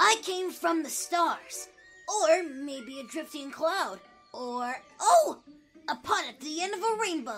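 A cartoonish character voice talks at a fairly slow pace with faint music in the background. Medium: puppet show. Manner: whimsical, excitable.

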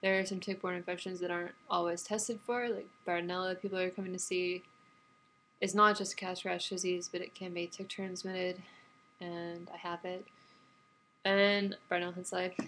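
With an American accent, a woman delivers her words at a moderate pace in a bright, sharp tone and monotone, flat intonation. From Texas. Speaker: vlogger with chronic illness. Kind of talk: personal vlog monologue. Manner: hesitant, many fillers. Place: home room. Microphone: webcam.

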